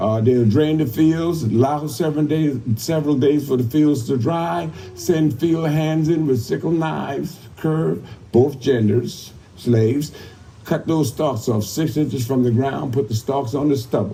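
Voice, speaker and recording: A man speaks with an American accent at a fairly slow pace. His pitch is fairly high, with ordinary pitch variation and very even loudness. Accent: Gullah Geechee. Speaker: cultural heritage presenter. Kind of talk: live historical presentation to a crowd.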